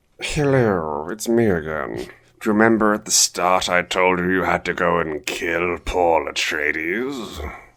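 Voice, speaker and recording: This is a put-on character voice. Its tone is menacing. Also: man, very deep, low pitch for a man, moderate pace. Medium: solo performance. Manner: menacing, bossy.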